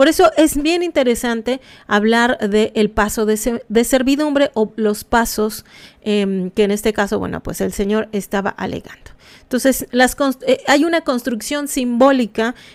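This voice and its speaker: A fairly high-pitched woman with a Mexican accent, at a fairly slow pace and with ordinary pitch variation. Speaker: anthropology commentator. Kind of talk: live stream commentary. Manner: halting, many fillers; casual.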